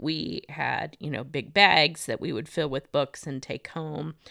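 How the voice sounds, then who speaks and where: A woman's very deep, low voice with vocal fry and an American accent, fairly slow, with ordinary pitch variation, in a dry, close sound with no echo on a very clean recording with a silent background. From US Midwest, northwest Indiana. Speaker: elementary school office worker. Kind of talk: casual chat. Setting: recorded in a room together with host. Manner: hesitant, frequent fillers.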